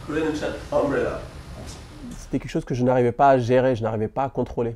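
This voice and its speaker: The man's voice carries a dark, mellow tone. He talks fairly quickly. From Senegal. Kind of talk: interview answer. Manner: stammering.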